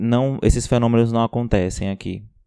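A man speaks at a medium pitch with a dark, mellow tone and ordinary pitch variation. The sound is dry and close, with no echo. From Ceará, Brazil. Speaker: biomedical scientist and podcast co-host. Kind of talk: casual science chat.

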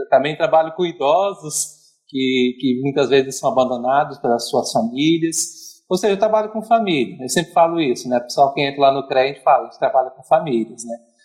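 The voice belongs to a man. It shows ordinary pitch variation. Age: 30s. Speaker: psychologist. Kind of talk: casual chat.

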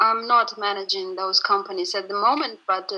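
Speaking with an ordinary speaking voice, a woman keeps a medium pitch and fairly even intonation. She moves at a moderate pace. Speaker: customer support manager, interpreter. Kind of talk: interview.

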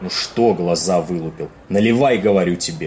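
Using a gruff, put-on character voice, a man speaks at a moderate pace with a very deep, low pitch, and there is clear background noise. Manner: gruff, brusque, swearing, jittery.

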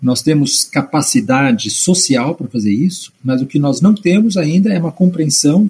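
With a plain, everyday voice, a man speaks at a moderate pace, his fairly high pitch carried by lively intonation. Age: 60s. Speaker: history professor. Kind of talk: interview on environmental collapse.

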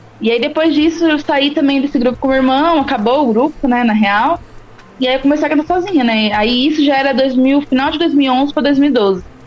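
Amid noticeable background noise, a woman with a high voice speaks fairly quickly with ordinary pitch variation. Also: very even loudness. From interior of São Paulo state, São Carlos. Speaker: rapper. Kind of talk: casual interview.

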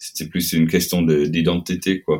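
A man's very deep, low voice moves along at a fairly slow pace. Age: 30s. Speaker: metal band frontman. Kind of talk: casual interview. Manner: halting.

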